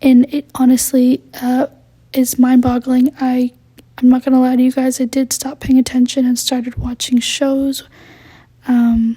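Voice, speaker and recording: A woman speaks at a moderate pace in a high voice. The sound is dry and close, with no echo. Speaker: podcast host, college student. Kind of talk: casual chat. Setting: home at night. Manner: rambling, hesitant with many ums.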